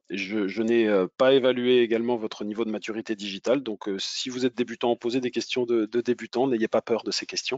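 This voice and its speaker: A man speaks at a medium pitch with hardly any pauses. His intonation is monotone and flat. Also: fairly quick pace. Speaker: web marketing speaker. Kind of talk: webinar presentation. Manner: halting, many repetitions.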